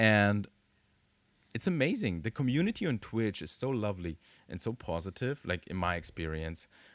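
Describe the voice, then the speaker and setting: With a German accent and lively intonation, a man is heard in a very clean recording with a silent background and a dry, close sound with no echo. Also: fairly low pitch for a man, moderate pace. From Germany. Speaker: tattoo studio owner. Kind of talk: casual chat.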